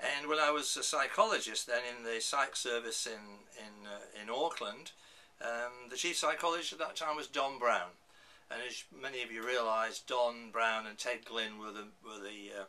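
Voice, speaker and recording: Amid noticeable background noise and audible room echo, a man with a northern English accent speaks at a moderate pace and medium pitch, with ordinary pitch variation and big swings in loudness. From northern England. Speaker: professor. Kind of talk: lecture. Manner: halting.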